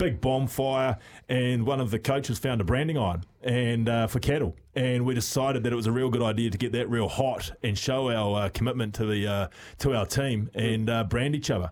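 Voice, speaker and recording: Talking at a fairly quick pace, a man keeps a medium pitch, ordinary pitch variation and very even loudness. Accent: New Zealand. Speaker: former rugby player, radio pundit. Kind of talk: casual chat.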